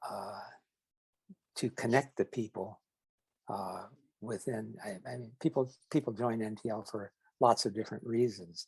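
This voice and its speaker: Recorded with a dry, close sound and no echo, a man of medium pitch uses vocal fry and fairly even intonation at a moderate pace, with big swings in loudness and long, frequent pauses. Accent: American. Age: 80s+. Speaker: retired trainer and educator. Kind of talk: interview. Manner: halting, many fillers and repetitions.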